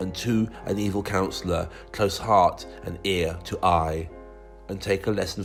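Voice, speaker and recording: Music is playing in the background. A man is speaking. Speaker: primary school teacher. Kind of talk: poetry reading.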